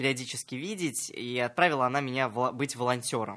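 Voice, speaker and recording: This man's bright, sharp tone sits on a very clean recording with a silent background. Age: 20s. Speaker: entrepreneur and psychologist. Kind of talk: radio interview. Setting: radio studio.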